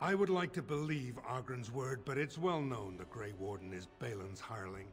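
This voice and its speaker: Using a put-on character voice, a man at a medium pitch talks at a moderate pace over clear music in the background. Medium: video game. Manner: cold, suspicious.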